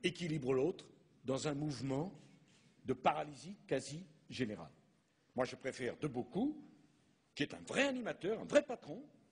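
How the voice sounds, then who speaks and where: This man talks at a moderate pace, with vocal fry in his voice. He leaves long, frequent pauses. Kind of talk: formal public speech. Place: hall. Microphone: podium.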